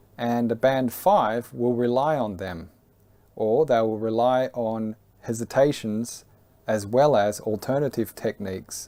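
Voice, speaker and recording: A man's medium-pitched voice with a dark, mellow tone and ordinary pitch variation, at a fairly slow pace. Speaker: English exam teacher. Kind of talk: tutorial. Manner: deliberate pauses between chunks.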